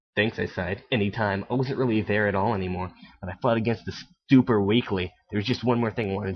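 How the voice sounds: What comes through is a natural reading voice.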